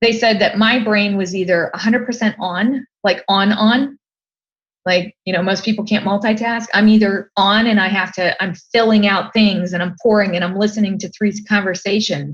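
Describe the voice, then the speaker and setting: A woman speaks at a moderate pace in a medium pitch, her voice somewhat breathy and her intonation fairly even. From Ohio, US. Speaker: design expert and entrepreneur. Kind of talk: podcast interview.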